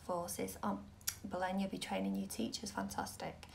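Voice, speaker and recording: Audible room echo surrounds a woman speaking with a Mancunian accent. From Manchester, northern England. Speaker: tarot reader. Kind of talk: live stream tarot reading. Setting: live video stream. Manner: casual, hesitant with fillers.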